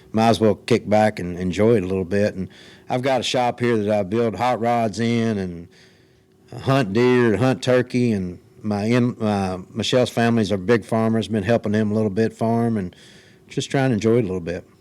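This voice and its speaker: Speaking with a Kentucky accent, a man has a fairly low pitch. He keeps a moderate pace and fairly even intonation. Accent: Southern US (Kentucky). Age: 60s. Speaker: retired race car driver. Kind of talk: interview. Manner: halting.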